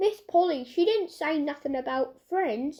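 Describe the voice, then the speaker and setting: A woman speaks in a put-on character voice, high-pitched and gruff. Her intonation is lively and her pace moderate. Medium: read story. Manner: gruff, rough.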